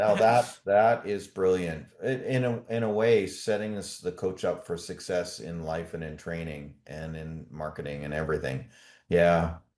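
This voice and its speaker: With a Canadian accent and a very deep, low pitch, a man talks at a fairly slow pace with ordinary pitch variation and big swings in loudness over a quiet background. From Canada. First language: German. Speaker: podcast host. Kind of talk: interview.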